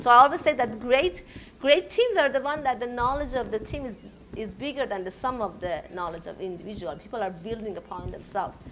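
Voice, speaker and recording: Over noticeable background noise, a woman talks in a Persian accent. Her fairly high voice has lively intonation. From Iran. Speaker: technology entrepreneur. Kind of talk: panel interview. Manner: loud.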